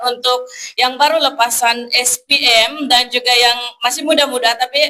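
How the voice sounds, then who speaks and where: A woman's raised, projected voice, high in pitch and bright, sharp in tone, with fairly even intonation at a moderate pace. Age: 20s. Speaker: evangelist. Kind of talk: testimony. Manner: halting.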